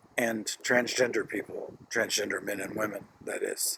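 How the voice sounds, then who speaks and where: Noticeable background noise runs through the clip. The man speaking keeps a fairly slow pace. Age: 70s. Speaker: HIV community services worker. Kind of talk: video message. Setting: outdoors outside a hospice. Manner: halting, many fillers.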